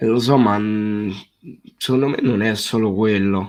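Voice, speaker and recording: A man talks at a very slow pace. His pitch is medium, with ordinary variation. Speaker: football streamer. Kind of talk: live stream chat reading comments. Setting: live stream.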